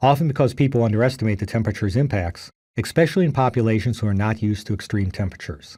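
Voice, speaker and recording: A somewhat breathy man with a dark, mellow tone, medium pitch and ordinary pitch variation at a very fast pace, on a very clean recording with a silent background. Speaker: geology professor. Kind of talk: recorded lecture.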